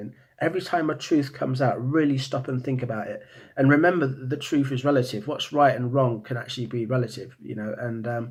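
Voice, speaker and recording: Mumbling at a fairly quick pace, a man speaks with a British accent. His pitch is medium, and the background is quiet. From Britain. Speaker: vlogger. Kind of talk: monologue. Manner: halting, many repeated words.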